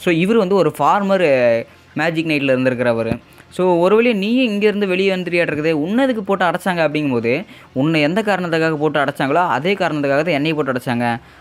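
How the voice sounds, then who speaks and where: A man's high voice with lively intonation, very even loudness, and noticeable background noise. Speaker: anime recap narrator. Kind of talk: anime episode recap narration. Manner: casual, conversational.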